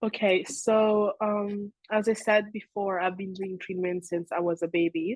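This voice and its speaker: A woman with an Italian accent, medium in pitch, with fairly even intonation and a fairly slow pace. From Italy, raised in Switzerland. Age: young. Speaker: social media creator. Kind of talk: interview.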